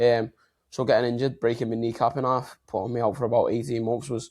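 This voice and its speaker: A man speaks at a very fast pace in a Liverpool accent. The background is quiet. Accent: Liverpool (Scouse). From Liverpool, England. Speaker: health and mindset coach. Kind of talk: podcast interview.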